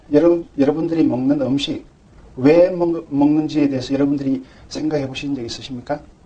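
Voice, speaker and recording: Fairly high in pitch with a dark, mellow tone, a man speaks with fairly even intonation. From Gyeongsang region, Korea. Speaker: pharmacist lecturer. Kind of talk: health lecture. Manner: conversational, rhetorical questions.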